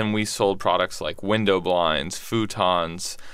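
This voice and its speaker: A man with an American accent and a fairly low pitch speaks in a bright, sharp tone on a very clean recording with a silent background. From Texas, Houston. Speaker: entrepreneur. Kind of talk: interview.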